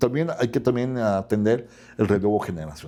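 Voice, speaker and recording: With a dark, mellow tone, a man talks at a moderate pace and a fairly low pitch with ordinary pitch variation. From Mexico, Huasteca region (Tamaulipas). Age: 60s. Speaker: law professor and lawyer. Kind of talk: interview conversation.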